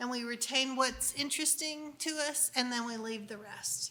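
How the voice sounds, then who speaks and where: A woman with a high-pitched voice speaks in fairly even intonation against noticeable background noise. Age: 60s. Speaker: unschooling speaker. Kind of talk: conference talk. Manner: conversational.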